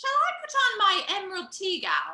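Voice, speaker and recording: A woman puts on a squeaky character voice, pitched extremely high, with very wide swings in pitch. She talks at a moderate pace. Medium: audio drama.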